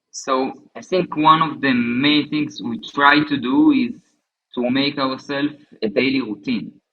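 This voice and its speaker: Lively in intonation, a man with an Israeli accent talks at a fairly slow pace and a fairly high pitch. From southern Israel. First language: Hebrew. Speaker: bereaved husband, soldier. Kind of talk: interview testimony. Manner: halting.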